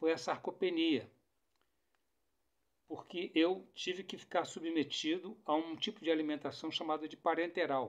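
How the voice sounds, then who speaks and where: A man talks at a fairly slow pace in a fairly high pitch. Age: 60s. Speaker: political commentator. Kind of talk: monologue to camera. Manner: halting.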